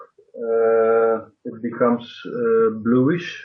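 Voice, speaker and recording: Here a man speaks with a non-native accent. His pitch is medium and his intonation fairly even. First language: not English. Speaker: workshop participant. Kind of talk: technical Q&A. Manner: halting, many fillers.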